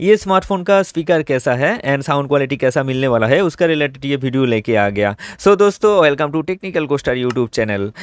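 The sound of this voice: The voice has a clear, smooth tone and lively intonation, moving at a moderate pace with few pauses. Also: man, medium pitch for a man.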